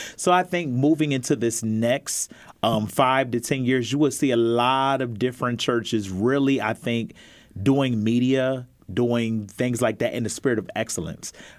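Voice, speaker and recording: A man in a normal speaking voice with an American accent, medium pitch, ordinary pitch variation and a moderate pace, on a very clean recording with a silent background. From Pennsylvania (Harrisburg). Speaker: church elder. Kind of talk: panel discussion. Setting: studio.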